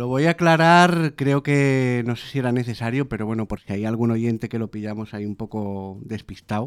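A man with a normal speaking voice talks at a moderate pace, medium in pitch with ordinary pitch variation. He barely pauses, and the sound is dry and close with no echo. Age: 30s. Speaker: podcast host. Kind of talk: casual chat.

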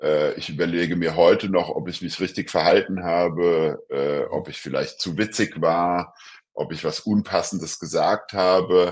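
A man talks at a fairly slow pace, his loudness swinging widely. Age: 50s. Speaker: law professor. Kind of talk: interview. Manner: hesitant, many filler sounds.

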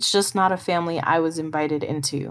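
With an unremarkable speaking voice, a woman talks at a moderate pace and with fairly even intonation. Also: very clean recording, silent background. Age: 30s. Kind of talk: personal testimony monologue.

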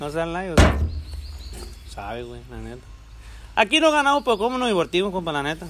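Over noticeable background noise, a man talks very fast but breaks it up with long, frequent pauses. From rural Mexico. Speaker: handyman and amateur podcaster. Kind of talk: casual chat. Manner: animated.

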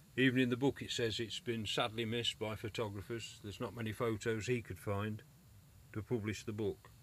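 In an English accent, a man speaks with monotone, flat intonation. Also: medium pitch for a man, fairly quick pace. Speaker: podcast host. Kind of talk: reminiscing monologue.

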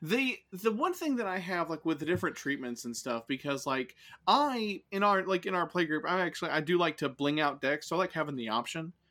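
Bright and sharp in tone, a man speaks at a high pitch with lively intonation and hardly any pauses, on a very clean recording with a silent background. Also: fairly quick pace. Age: 20s. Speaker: podcast co-host. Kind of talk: casual chat.

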